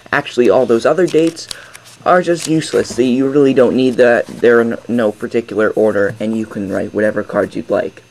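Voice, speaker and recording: A man talks at a fairly quick pace and medium pitch, with ordinary pitch variation. Background noise is noticeable. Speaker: magic tutorial creator. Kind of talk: tutorial.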